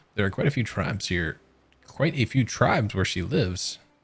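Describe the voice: The clip is simply plain reading aloud.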